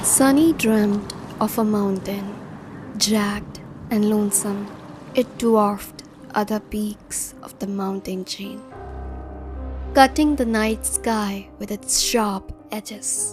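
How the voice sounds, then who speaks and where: With music in the background, a woman talks at a medium pitch and a very slow pace, leaving long, frequent pauses, her pitch varying in an ordinary way and her loudness swinging widely. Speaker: audiobook narrator. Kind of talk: audiobook narration.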